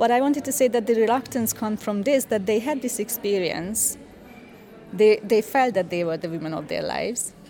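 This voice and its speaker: Music plays behind a woman speaking at a moderate pace. Her pitch is fairly high and varies in an ordinary way. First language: Hungarian (speaking German). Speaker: cultural scholar. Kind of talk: interview.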